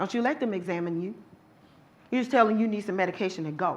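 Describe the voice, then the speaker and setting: A loud, animated woman at a very fast pace with very wide pitch swings and audible room echo. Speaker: domestic violence survivor and advocate speaker. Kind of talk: lecture.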